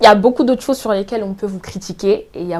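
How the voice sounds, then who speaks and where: A woman talks at a very fast pace and medium pitch with fairly even intonation. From France, Évry-Courcouronnes (Essonne). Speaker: law student. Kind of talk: interview conversation.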